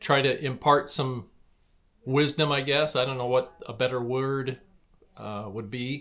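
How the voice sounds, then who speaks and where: A man talks at a medium pitch. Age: 60s. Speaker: travel vlogger. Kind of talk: casual personal introduction. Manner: halting, frequent fillers.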